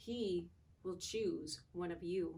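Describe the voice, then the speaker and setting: A woman puts on a character voice. Its pitch is medium. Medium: read story.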